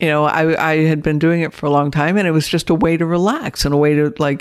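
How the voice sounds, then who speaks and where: A woman with a normal speaking voice and fairly low pitch talks at a fairly quick pace in a very clean recording with a silent background. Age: 50s. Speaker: interviewee sharing personal experiences. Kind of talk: casual interview.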